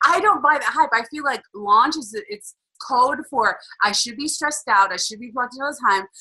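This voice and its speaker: Her voice is raised and projected, high-pitched with a bright, sharp tone, lively intonation and big swings in loudness. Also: moderate pace. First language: not English. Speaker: business coach. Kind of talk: webinar co-hosted live stream. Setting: live stream in a Facebook group. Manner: animated, conversational.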